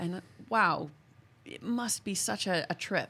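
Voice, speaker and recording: Speaking with an American accent, a woman shows vocal fry and ordinary pitch variation. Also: very clean recording, silent background. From US, San Diego. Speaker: podcast host. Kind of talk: casual chat.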